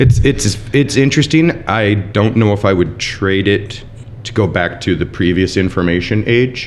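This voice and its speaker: Over noticeable background noise, a man talks at a moderate pace. His pitch variation is ordinary. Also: fairly low pitch for a man. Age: 40s. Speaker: chef. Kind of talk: casual chat.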